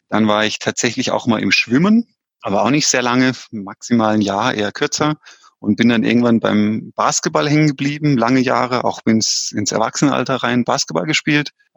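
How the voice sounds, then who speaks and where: A man speaks at a moderate pace in a plain, everyday voice, his medium pitch moving with ordinary variation, and the sound is dry and close with no echo. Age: 30s. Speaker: amateur triathlete. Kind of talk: interview. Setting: remote call. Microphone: headset, choppy connection.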